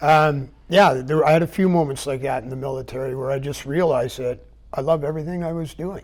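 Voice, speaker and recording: Talking very fast, a man keeps a fairly even intonation at a fairly high pitch. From Vancouver Island, British Columbia, Canada. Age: 60s. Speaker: business owner and retired military parachute rigger. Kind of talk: interview. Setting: TV studio.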